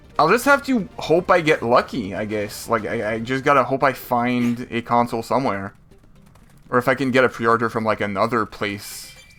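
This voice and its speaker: A man at a fairly quick pace and medium pitch, with ordinary pitch variation and music in the background. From France. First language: French. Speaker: video game streamer. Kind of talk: casual live-stream commentary.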